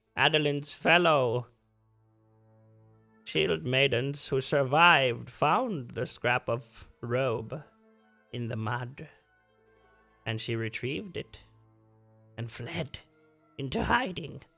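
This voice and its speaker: Using a put-on character voice, a man speaks at a medium pitch with lively intonation. His pace is fairly slow, with long, frequent pauses and faint music in the background. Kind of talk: legend recounting. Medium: actual play. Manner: formal, measured.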